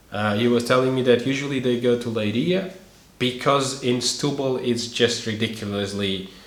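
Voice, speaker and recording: A man with a Portuguese accent speaks at a moderate pace and medium pitch, with ordinary pitch variation. Noticeable background noise and audible room echo are present. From Portugal. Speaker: YouTuber, expat life vlogger. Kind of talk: tutorial. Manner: casual with frequent hesitations.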